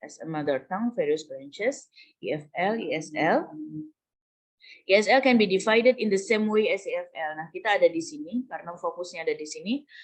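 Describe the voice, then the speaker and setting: Speaking with a Javanese accent at a fairly quick pace, a woman swings very widely in pitch and shifts a lot in loudness. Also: medium pitch for a woman. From Java, Indonesia. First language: Javanese (speaking Indonesian). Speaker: university lecturer. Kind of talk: lecture. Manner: code-switching Indonesian and English.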